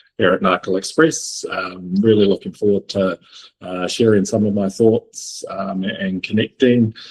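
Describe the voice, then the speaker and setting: A man speaks with a New Zealand accent at a fairly low pitch. His pace is fairly slow and his intonation fairly even. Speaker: logistics executive. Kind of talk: panel interview. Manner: hesitant with many fillers.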